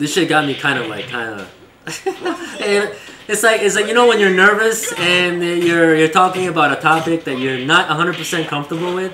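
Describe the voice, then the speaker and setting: A man speaks at a fairly quick pace in a high voice with lively intonation. Audible room echo and noticeable background noise surround him. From East Asia, moved to US as child. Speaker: streamer. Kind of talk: casual chat. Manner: halting.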